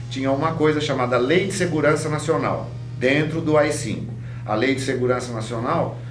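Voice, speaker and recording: Over music in the background, a man with a fairly high pitch speaks at a moderate pace. His intonation is fairly even, and audible room echo is present. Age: 60s. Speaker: sociology professor. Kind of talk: testimony.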